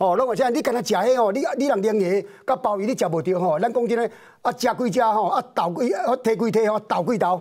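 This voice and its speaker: The speaker moves at a fairly quick pace with ordinary pitch variation and very even loudness over a quiet background. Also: man, high pitch for a man. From Taiwan. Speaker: political commentator. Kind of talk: political talk show debate. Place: studio.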